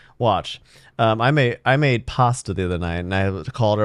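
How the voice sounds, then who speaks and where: With a Californian accent, a man speaks at a medium pitch and a moderate pace in front of a quiet background. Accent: Californian American English. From California (Monterey). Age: 30s. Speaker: podcast host. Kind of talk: casual podcast monologue. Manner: halting, many fillers.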